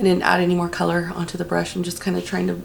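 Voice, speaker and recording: There is audible room echo on this recording. The speaker is a woman. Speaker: beauty vlogger. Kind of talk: makeup tutorial. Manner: hesitant, many fillers.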